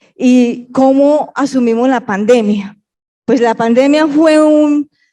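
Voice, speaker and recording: In a paisa accent, a woman speaks at a high pitch with a dark, mellow tone. Her pace is very slow. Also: ordinary pitch variation, very even loudness. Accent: paisa Colombian Spanish. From Colombia, Pereira coffee region. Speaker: education official. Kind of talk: panel discussion.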